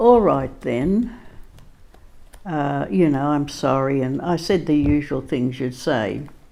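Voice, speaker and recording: A woman's very deep, low voice with lively intonation at a very slow pace, with audible room echo. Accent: Australian. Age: 90s. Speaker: storyteller. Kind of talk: personal storytelling. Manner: halting, with many fillers.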